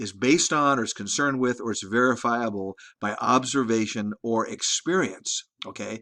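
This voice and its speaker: Bright and sharp in tone, a man's voice sits at medium pitch. He speaks at a moderate pace against a quiet background. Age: 60s. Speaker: college instructor. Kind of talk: lecture. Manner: halting, many repeated words; casual, conversational.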